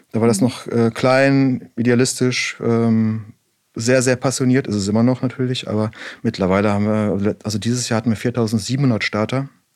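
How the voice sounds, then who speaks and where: Moving at a moderate pace, this is a normal speaking voice with fairly even intonation. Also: man, medium pitch for a man. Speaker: bike brand co-founder. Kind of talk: casual interview.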